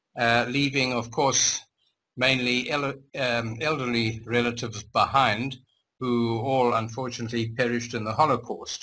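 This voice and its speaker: A man at a medium pitch with a German accent, bright, sharp tone, monotone, flat intonation and a moderate pace. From Zimbabwe. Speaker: interviewee, former community member. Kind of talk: life story interview. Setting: video call. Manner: halting.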